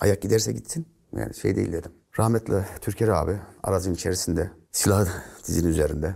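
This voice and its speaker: Against a quiet background, a man with a very deep, low, somewhat breathy voice and a dark, mellow tone talks at a fairly quick pace with ordinary pitch variation. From Central Anatolia, Turkey (Nevşehir); Central Anatolia, Turkey. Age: 50s. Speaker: retired gendarmerie officer; guest. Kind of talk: interview storytelling. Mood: earnest, emotional storytelling. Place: studio. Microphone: lapel.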